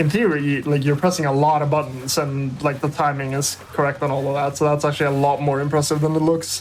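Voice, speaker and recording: Delivered at a very fast pace with hardly any pauses, this voice has a non-native accent over noticeable background noise. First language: not English. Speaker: speedrun commentator. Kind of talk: live commentary.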